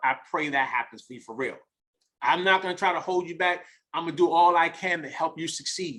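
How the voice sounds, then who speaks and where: In a New York accent, a man talks at a high pitch with big swings in loudness. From US Northeast, the Bronx, New York. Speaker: network marketing leader and mentor. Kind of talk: motivational talk on a group call. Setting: group conference call. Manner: repetitive, halting.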